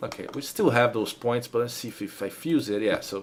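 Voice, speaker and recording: Amid noticeable background noise, a man with a Brazilian Portuguese accent speaks at a medium pitch with lively intonation. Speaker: 3D modeling instructor. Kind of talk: live-streamed tutorial. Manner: halting, with fillers and repetitions.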